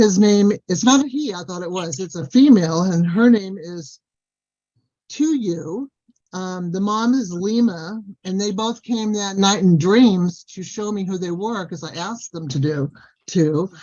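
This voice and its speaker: A woman with an American accent has an unremarkable speaking voice at medium pitch. She talks at a fairly slow pace with lively intonation and big swings in loudness. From Southern California. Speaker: Sasquatch experiencer. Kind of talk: casual chat.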